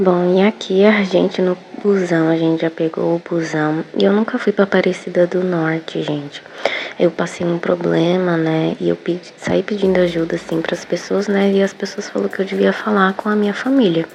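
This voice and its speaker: Over noticeable background noise, a woman talks at a moderate pace in a fairly low pitch with fairly even intonation. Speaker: lifestyle vlogger. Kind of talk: vlog narration. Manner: soft-spoken, talking quietly.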